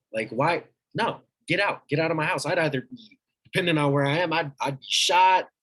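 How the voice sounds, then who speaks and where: A man is speaking. His pace is moderate. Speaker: young army reservist. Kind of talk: conversational reflection. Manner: halting.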